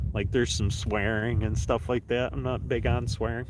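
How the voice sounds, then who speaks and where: With audible room echo, a man in an American accent speaks at medium pitch and a moderate pace. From New York, US. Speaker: fishing YouTuber. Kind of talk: live stream chat while ice fishing. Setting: outdoors on the ice. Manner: casual, chatty.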